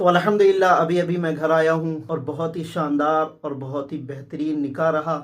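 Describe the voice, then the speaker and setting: In an ordinary speaking voice, a man talks at a moderate pace with hardly any pauses, his fairly high pitch held in fairly even intonation. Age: 20s. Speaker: vlogger. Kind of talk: vlog talk to camera. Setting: at home after wedding.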